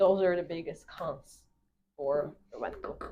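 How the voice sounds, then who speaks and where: A non-native accent at a fairly slow pace. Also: woman. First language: not English. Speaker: real estate agent. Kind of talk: casual explainer video.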